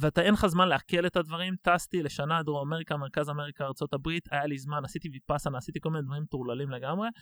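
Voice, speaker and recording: A man talks very fast in a fairly high voice with ordinary pitch variation. The recording is very clean and silent behind him, with a dry, close sound and no echo. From Israel, Tel Aviv. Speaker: business development director and nonprofit co-founder. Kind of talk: casual interview.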